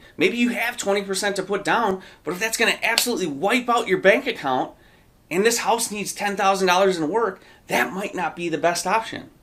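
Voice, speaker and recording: A man with a high pitch projects a raised voice, bright and sharp in tone, with lively intonation at a fairly quick pace. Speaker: real estate agent. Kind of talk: explainer video. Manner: fast.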